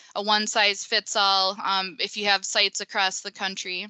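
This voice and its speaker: A woman speaks at a medium pitch in a Minnesotan accent. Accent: Minnesota. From US Midwest, Minnesota. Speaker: pavement engineer. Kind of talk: webinar presentation. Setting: online webinar.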